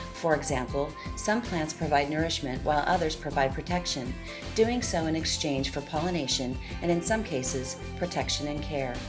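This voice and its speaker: Over music in the background, a woman with a very deep, low pitch speaks at a moderate pace with lively intonation. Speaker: voice-over artist. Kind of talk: corporate documentary narration.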